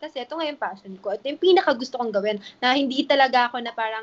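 High female pitch, fairly quick delivery and ordinary pitch variation from a woman. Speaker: influencer and business owner. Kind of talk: casual interview. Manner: animated.

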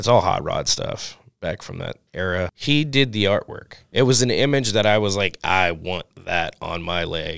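A man speaks with an American accent at a fairly slow pace, with hardly any pauses. He has a normal speaking voice. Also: fairly low pitch for a man. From New Orleans, US South. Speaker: tattoo artist. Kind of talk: casual chat.

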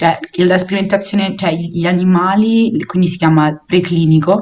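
Speaking at a moderate pace, a woman with a Roman accent keeps a fairly even intonation at a fairly low pitch. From Rome, Italy. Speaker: biology master's student. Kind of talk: casual chat explaining science.

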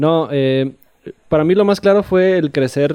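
The man's tone is dark and mellow. He speaks at a fairly slow pace. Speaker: podcast guest. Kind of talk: casual chat. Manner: soft-spoken.

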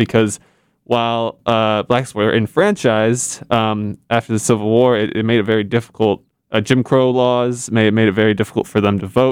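In an American accent, a man uses an ordinary speaking voice at medium pitch, with fairly even intonation and a moderate pace. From Indiana. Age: 20s. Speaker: university student, voter outreach organizer. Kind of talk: casual podcast discussion.

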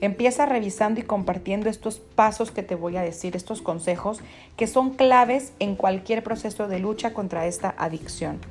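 A woman speaks at medium pitch with ordinary pitch variation. Her tone is animated. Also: moderate pace. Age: 30s. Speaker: podcast host, faith and self-improvement speaker. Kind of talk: monologue giving advice.

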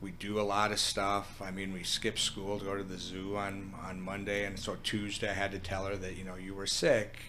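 With an American accent, a man speaks at a fairly low pitch in a bright, sharp tone, with monotone, flat intonation, hardly any pauses and audible room echo. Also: moderate pace. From Minnesota. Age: 50s. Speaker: food business owner. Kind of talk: casual interview.

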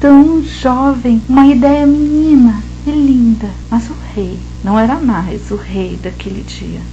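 A woman speaks at a very slow pace, her loudness swinging widely. Audible room echo and noticeable background noise surround her voice. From São Paulo interior, Vale do Paraíba. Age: 40s. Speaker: art teacher and storyteller. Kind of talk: storytelling.

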